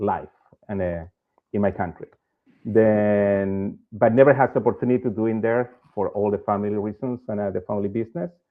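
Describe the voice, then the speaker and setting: A man talks fairly quickly in a Chilean accent, his pitch fairly low. His pitch varies in an ordinary way. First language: Spanish. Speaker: bank executive. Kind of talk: interview. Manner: halting.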